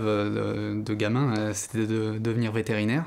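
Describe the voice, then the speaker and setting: A medium-pitched male voice comes through noticeable background noise. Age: 20s. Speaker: apprentice student. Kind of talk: interview testimony. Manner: hesitant, many fillers.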